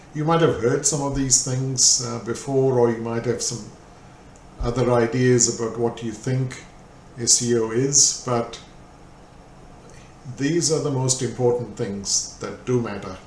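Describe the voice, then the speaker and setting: Fairly slow, fairly even speech with long, frequent pauses and audible room echo. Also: man, medium pitch for a man. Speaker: SEO manager. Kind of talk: lecture.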